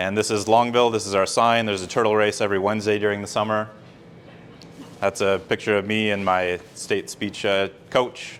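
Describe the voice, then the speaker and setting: Fairly low in pitch, a man talks at a fairly quick pace with monotone, flat intonation. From US Midwest, northern Minnesota. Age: 40s. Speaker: political candidate. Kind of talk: campaign speech. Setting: fundraiser event in a room, no microphone. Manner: loud; casual. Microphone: no microphone, room sound.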